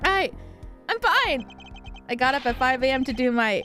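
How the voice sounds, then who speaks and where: A female-sounding put-on character voice comes through loud, shrill and raspy at a moderate pace. Clear music plays in the background. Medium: game stream. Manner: stammering, flustered, overeager.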